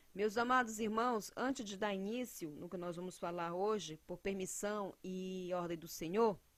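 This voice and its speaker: A woman speaks at a fairly slow pace with hardly any pauses, her medium-pitched voice showing ordinary pitch variation and big swings in loudness. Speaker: evangelical preacher. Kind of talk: sermon.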